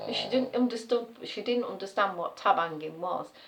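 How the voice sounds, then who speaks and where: Over noticeable background noise, a woman with an East Midlands accent talks at a fairly quick pace. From Nottinghamshire, East Midlands. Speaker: nursery worker. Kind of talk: casual talk to camera.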